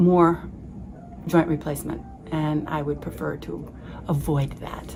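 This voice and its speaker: A woman with fairly even intonation, against noticeable background noise. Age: 70s. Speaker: patient testimonial. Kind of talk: testimony. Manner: halting, many fillers.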